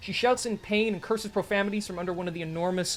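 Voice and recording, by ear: Someone is reading aloud. It is done in a natural voice.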